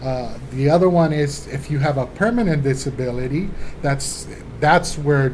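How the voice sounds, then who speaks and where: Spoken at a moderate pace with a Spanish accent, the voice comes through audible room echo and noticeable background noise. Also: man. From Colombia, then Los Angeles from age 12. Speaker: law office administrator. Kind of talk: interview.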